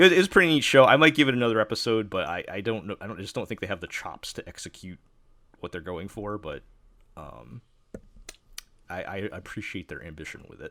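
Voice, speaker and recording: In an American accent, the speaker talks at a very fast pace with a bright, sharp tone, yet leaves long, frequent pauses. Loudness swings widely and the pitch swings are very wide. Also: man, fairly low pitch for a man. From New York. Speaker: anime podcast host. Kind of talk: casual chat. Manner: halting.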